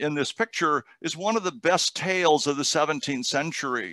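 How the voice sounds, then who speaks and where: A man speaks with a bright, sharp tone. The sound is dry, with no echo. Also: quiet background. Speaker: guest lecturer. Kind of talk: lecture. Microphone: headset.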